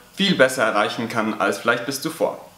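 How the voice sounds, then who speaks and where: Audible room echo around a male speaker. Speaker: teacher. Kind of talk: educational vlog talk. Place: classroom.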